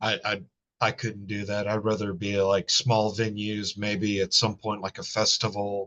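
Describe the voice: Monotone, flat intonation runs through this man's fairly low-pitched voice. He keeps a moderate pace with a fairly bright tone.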